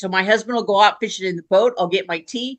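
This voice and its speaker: Ordinary pitch variation shapes a woman's bright, sharp tone. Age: 60s. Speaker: device user sharing experience. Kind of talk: casual chat.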